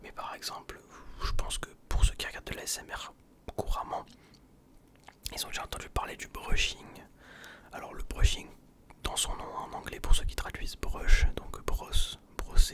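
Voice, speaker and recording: A man's whisper at a fairly slow pace, with long, frequent pauses, big swings in loudness, and noticeable background noise. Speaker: ASMR youtuber. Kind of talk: ASMR whisper talk. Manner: whispering; hesitant.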